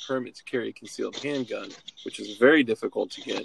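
A man's voice, dry and close with no echo. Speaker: podcast co-host. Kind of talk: casual chat. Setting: video call.

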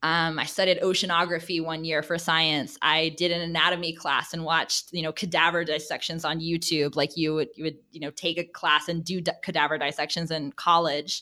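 With hardly any pauses, a woman speaks at a fairly quick pace in a fairly low, bright and sharp voice, her intonation monotone and flat. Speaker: career coach. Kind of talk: interview conversation.

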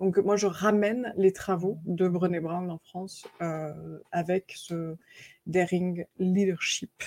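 A woman's medium-pitched voice with an American accent, dark and mellow in tone, fairly even in intonation, very slow, broken by long, frequent pauses, in a dry, close sound with no echo. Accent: American-tinged French. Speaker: author and coach. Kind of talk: interview.

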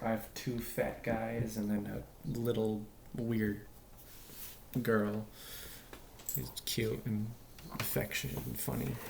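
The speaker talks at a very slow pace with long, frequent pauses over noticeable background noise. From US (California and Massachusetts). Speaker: podcast co-host. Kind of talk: casual chat.

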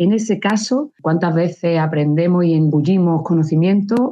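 With a fairly low pitch and ordinary pitch variation, a woman talks fairly slowly in an ordinary speaking voice. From Andalusia, Córdoba. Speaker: engineer and teacher. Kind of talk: interview.

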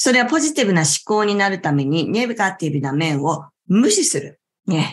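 A woman at medium pitch and moderate pace, with very wide pitch swings. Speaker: yoga instructor and talk show host. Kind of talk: relaxed talk show livestream. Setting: live online class stream. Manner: calm, gentle.

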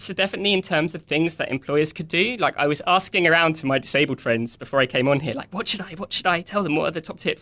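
Talking at a very fast pace with hardly any pauses, a man uses ordinary pitch variation in a high voice. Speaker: software developer. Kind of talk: casual interview. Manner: enthusiastic, upbeat.

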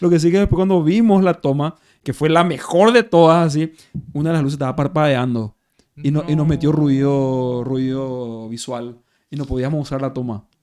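A man's fairly high voice with a dark, mellow tone, ordinary pitch variation and a moderate pace. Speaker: actor and metal musician. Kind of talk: casual chat.

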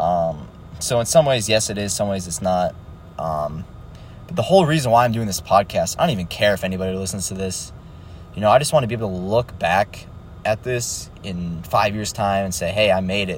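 A man talks fairly quickly at a fairly low pitch. His intonation is lively, and there is noticeable background noise. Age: young. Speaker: solo podcaster, beginner day trader. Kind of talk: casual monologue. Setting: in a car. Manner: halting, many fillers. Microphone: poor audio quality.

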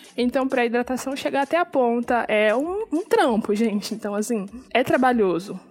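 Noticeable background noise sits behind a woman with a high pitch. She speaks at a moderate pace with lively intonation. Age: 20s. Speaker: podcast host. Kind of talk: casual solo podcast talk. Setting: recording at home at night.

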